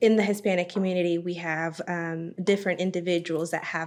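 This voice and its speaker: Her delivery fairly quick, a woman talks at a fairly low pitch in a monotone, flat intonation. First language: Spanish. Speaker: bank member services manager. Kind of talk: podcast interview. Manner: frequent fillers and hesitations.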